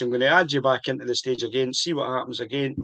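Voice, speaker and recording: A man with a Scottish accent talks at a fairly quick pace in a fairly high pitch. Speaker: whisky tasting show host. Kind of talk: casual chat. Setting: video call livestream.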